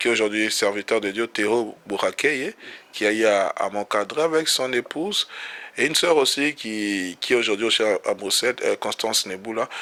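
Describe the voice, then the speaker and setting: At a moderate pace, a man speaks with a bright, sharp tone, medium pitch and ordinary pitch variation. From DR Congo. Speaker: pastor. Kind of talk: interview. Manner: halting.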